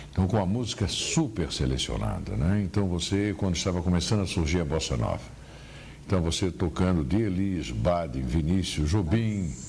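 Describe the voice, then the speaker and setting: In a room with audible echo, a man with a very deep, low pitch speaks at a moderate pace, his intonation lively and his loudness very even. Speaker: veteran radio journalist. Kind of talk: interview about career memories. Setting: at his home.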